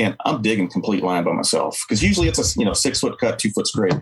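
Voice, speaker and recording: A man with an American accent, an ordinary speaking voice, fairly low pitch and a fairly quick pace. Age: 40s. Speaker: firefighter. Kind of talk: casual chat.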